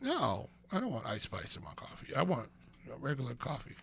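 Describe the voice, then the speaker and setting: Over noticeable background noise, a man talks fairly quickly. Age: 60s. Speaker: radio talk show host. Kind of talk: casual radio talk. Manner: halting, many fillers.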